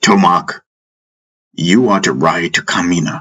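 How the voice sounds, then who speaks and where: A put-on character voice from a man, raspy and very deep in pitch, at a moderate pace. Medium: read story. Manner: loud, commanding.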